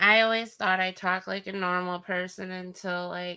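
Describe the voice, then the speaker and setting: With a Wisconsin accent, a woman speaks at a moderate pace and medium pitch in a bright, sharp tone with monotone, flat intonation. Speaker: livestream co-host. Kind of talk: casual chat.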